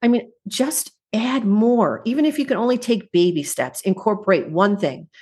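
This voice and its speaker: A woman's fairly high, somewhat breathy voice, with lively intonation and very even loudness. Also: moderate pace, hardly any pauses. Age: 50s. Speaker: juice fasting guest. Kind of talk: casual interview chat.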